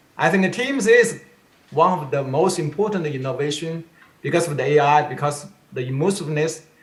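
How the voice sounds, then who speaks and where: A man's fairly high voice at a moderate pace, lively intonation, and audible room echo. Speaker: tech industry executive. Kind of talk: panel discussion.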